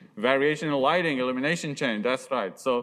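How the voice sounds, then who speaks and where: A man with a non-native accent is heard on a very clean recording with a silent background. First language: not English. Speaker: university lecturer. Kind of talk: lecture.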